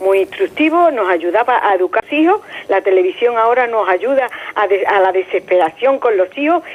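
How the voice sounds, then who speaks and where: A woman's fairly high voice with very wide pitch swings and very even loudness, at a fairly quick pace over noticeable background noise. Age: 60s. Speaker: caller. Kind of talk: call-in opinion.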